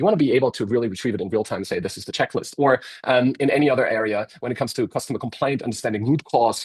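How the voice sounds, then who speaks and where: Speaking at a very fast pace, a man with a German accent keeps a fairly even intonation. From Germany. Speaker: software company representative. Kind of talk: webinar presentation. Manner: halting, many fillers.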